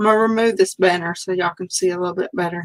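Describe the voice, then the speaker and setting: Speaking with a Southern US accent, this voice keeps a fairly even intonation. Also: woman. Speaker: crafter demonstrating card making. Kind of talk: live stream crafting tutorial. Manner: casual, chatty.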